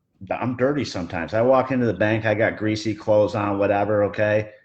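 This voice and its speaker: At a moderate pace, a man with a fairly low pitch speaks in fairly even intonation over a quiet background. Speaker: truck repair business owner. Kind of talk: casual discussion. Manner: loud.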